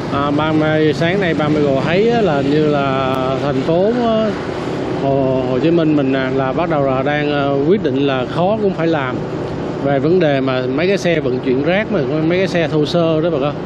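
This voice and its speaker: The speech moves at a fairly slow pace. Loud background noise is present. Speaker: street vlogger. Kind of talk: casual commentary. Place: motorbike.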